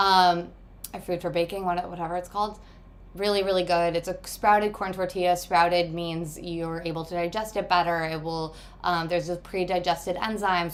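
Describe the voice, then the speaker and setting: The delivery is monotone, with flat intonation. It moves at a fairly quick pace. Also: woman, fairly low pitch for a woman. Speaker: meal prep coach and cooking host. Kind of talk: live cooking tutorial. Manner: fast.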